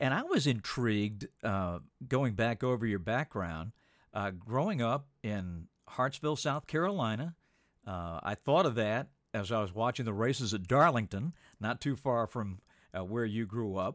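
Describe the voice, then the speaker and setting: In a very clean recording with a silent background and a dry, close sound with no echo, a man uses an ordinary speaking voice at medium pitch, speaking at a fairly slow pace with lively intonation. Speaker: podcast host. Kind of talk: interview conversation.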